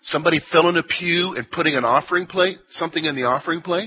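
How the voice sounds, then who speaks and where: This man has an unremarkable speaking voice with a fairly high pitch. He talks at a fairly quick pace. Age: 40s. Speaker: church teacher. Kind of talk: Bible class lesson. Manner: conversational, addresses class directly.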